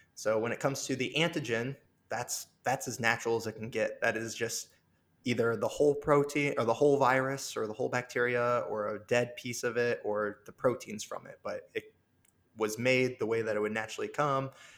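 Speaking at a moderate pace with fairly even intonation, a man has a medium-pitched, unremarkable speaking voice. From rural Illinois. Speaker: virologist. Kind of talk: interview.

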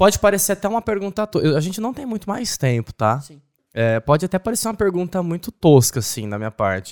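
A man speaks very fast in a high voice with very wide pitch swings, recorded very cleanly against a silent background with a dry, close sound and no echo. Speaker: podcast host. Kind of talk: casual interview. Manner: animated.

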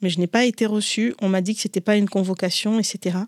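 This woman's voice sits at a medium pitch. The sound is dry and close, with no echo. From Africa, Comorian family, raised in several African countries. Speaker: writer and entrepreneur. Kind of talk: interview. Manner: halting, with frequent repetitions.

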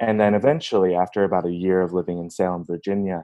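Fairly even intonation marks a man's fairly low-pitched voice, a plain, everyday voice. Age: 20s. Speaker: computer science student. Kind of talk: casual interview.

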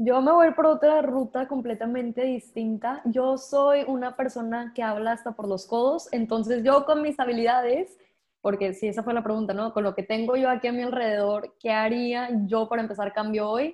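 A woman talks at a moderate pace with hardly any pauses. Her pitch is high, with ordinary variation. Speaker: content creator. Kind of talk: casual chat. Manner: talkative.

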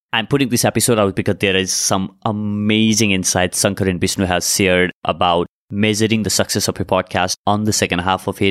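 A man with a plain, everyday voice talks at a moderate pace in a fairly low pitch with fairly even intonation. The sound is dry and close, with no echo. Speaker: podcast host and coach. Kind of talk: interview intro and conversation. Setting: video call.

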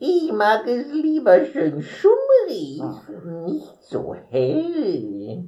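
The speaker does a put-on character voice at a very slow pace. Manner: prim, mannered.

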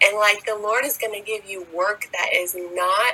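Someone speaks at a fairly slow pace with an American accent. Noticeable background noise sits behind the voice. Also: woman. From United States. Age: 20s. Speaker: podcast host. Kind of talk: faith-based solo monologue.

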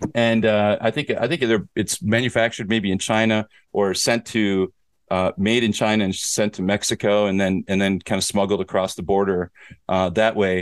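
A man with a plain, everyday voice, fairly low in pitch, at a moderate pace with fairly even intonation, in dry, close sound with no echo. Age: 40s. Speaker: podcast host and teacher in Korea. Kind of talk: casual chat.

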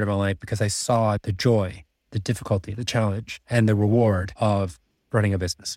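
A man speaks with a Canadian accent at a moderate pace, medium in pitch with ordinary variation. The very clean recording has a silent background and a dry, close sound with no echo. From Czech Republic. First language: Czech. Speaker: MBA student and finance professional. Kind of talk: casual interview.

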